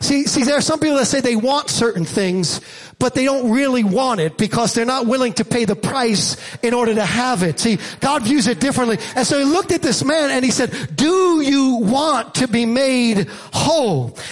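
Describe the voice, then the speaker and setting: Speaking at a moderate pace in an American accent, a man uses an extremely high pitch, lively intonation, an animated tone and very even loudness over noticeable background noise. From Staten Island, New York. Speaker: preacher. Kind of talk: sermon. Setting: church with live congregation. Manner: animated, rallying call-and-response delivery; emphatic, loud, urging the congregation to shout.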